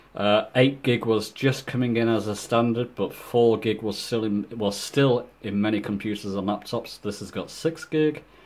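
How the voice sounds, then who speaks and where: Faint music plays behind a man who speaks with fairly even intonation and hardly any pauses. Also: moderate pace. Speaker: YouTuber showing gaming setup. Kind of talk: casual tutorial walkthrough. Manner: hesitant, many fillers. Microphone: phone near.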